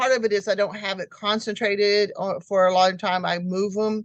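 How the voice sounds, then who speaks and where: A woman with an American accent speaks at a moderate pace and medium pitch. The background is quiet. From Alaska and US military towns. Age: 60s. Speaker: homesteader. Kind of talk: interview. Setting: video call.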